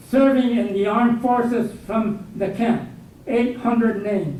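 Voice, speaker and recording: Audible room echo and noticeable background noise surround a man speaking in a high pitch with an American accent. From southern California (El Monte). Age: 80s+. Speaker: guest speaker, war internment survivor and veteran. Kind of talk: lecture. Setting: university lecture hall with audience.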